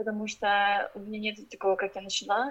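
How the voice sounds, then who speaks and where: A woman has an unremarkable speaking voice at medium pitch. She talks at a fairly quick pace. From Ukraine. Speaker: artist and marketer. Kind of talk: casual interview chat.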